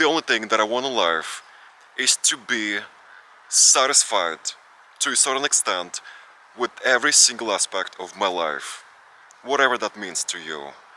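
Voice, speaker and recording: A man's fairly low voice with lively intonation, a moderate pace, long and frequent pauses, a dry, close sound without echo, and noticeable background noise. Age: 20s. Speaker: vlogger. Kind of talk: casual Q&A vlog.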